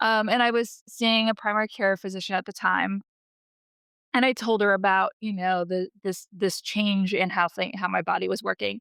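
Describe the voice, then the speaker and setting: A woman speaks at medium pitch and a moderate pace in an unremarkable speaking voice, with fairly even intonation. The recording is very clean with a silent background, and the sound is dry and close with no echo. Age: 40s. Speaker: cancer patient, nonprofit director. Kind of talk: interview testimony.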